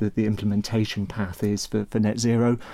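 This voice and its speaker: A man with a Manx accent and a fairly low, dark, mellow tone at a moderate pace, in a very clean recording with a silent background. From Isle of Man. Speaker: accounting firm partner. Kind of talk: casual chat.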